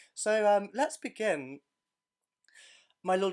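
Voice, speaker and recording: A man is speaking. He has an English accent. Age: 20s. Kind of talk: casual podcast talk.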